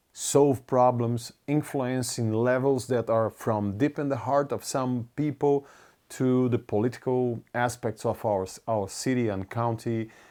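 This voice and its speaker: A Brazilian Portuguese accent with fairly even intonation at a fairly slow pace. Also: man, medium pitch for a man. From Brazil (Curitiba). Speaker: community leader. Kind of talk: personal video update to supporters. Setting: recorded video message. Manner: halting, with self-corrections.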